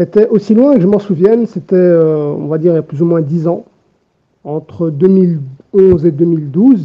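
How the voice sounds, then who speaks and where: This man's voice has a high pitch and ordinary pitch variation. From Belgium, Brussels. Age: 20s. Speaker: patient giving testimony. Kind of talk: testimony. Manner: halting.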